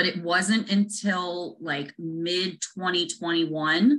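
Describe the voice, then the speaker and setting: A woman is speaking. Her tone is bright and sharp. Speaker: interview guest. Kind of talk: interview answer. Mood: friendly, animated. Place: home room. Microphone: video call.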